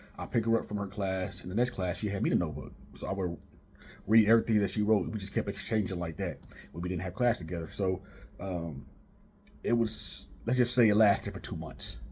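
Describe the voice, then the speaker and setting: Somewhat breathy and dark, mellow in tone, a man talks at a fairly quick pace and fairly low pitch with ordinary pitch variation. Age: 30s. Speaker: vlogger. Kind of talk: casual storytelling monologue. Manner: halting, repeats words; laid back.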